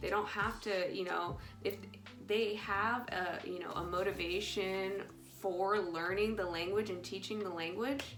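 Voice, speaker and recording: A woman with a non-native accent talks at a fairly slow pace, her medium pitch held in fairly even intonation, with audible room echo. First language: ASL. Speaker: ASL teacher. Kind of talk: casual vlog monologue. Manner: hesitant, many fillers.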